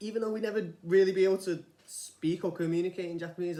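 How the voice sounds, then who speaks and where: In a Manchester accent, the speaker talks fairly quickly with a dark, mellow tone. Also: man. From northern England, Manchester. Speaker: vlogger, former rice farmer. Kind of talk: casual vlog monologue. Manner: informal, hesitant with fillers.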